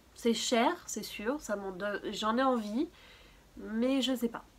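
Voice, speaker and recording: Over noticeable background noise, a woman talks at a very slow pace. Her pitch is fairly high, with ordinary variation. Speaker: beauty and lifestyle YouTuber. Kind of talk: casual talk to camera.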